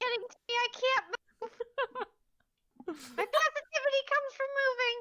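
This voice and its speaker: In a put-on character voice, the speaker talks at an extremely high pitch. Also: moderate pace. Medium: actual play. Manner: perky, sassy.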